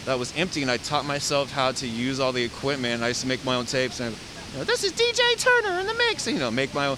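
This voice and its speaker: Talking at a very fast pace with an American accent, a man with a fairly high pitch uses ordinary pitch variation over noticeable background noise. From US West Coast, San Diego. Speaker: photographer. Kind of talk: casual interview.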